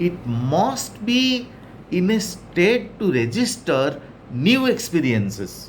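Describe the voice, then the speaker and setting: A man talks at a very slow pace in a high voice with very wide pitch swings and very even loudness, and audible room echo surrounds him. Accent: Odisha. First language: Odia. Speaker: English teacher. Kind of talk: lecture.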